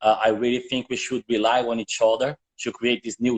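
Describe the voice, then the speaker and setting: A man with a Portuguese accent talks at a moderate pace and medium pitch. The sound is dry and close, with no echo. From northern Brazil. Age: 40s. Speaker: shoe brand co-founder. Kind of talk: interview. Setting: live video chat. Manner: halting, with repetitions.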